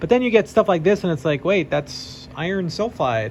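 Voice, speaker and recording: Lively intonation marks a man's fairly quick speech, heard over noticeable background noise. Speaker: geology PhD student and meteorite classifier. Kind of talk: tutorial. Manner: fast; casual with fillers and hesitations.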